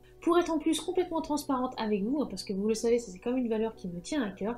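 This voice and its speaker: This high-pitched female voice has a lively intonation. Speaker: YouTuber. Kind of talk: channel review vlog. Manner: fast.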